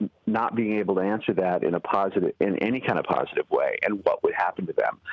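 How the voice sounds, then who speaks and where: The man's words come at a very fast pace. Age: 60s. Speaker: writer and activist. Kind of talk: radio interview. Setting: phone call. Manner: halting, many repeated words.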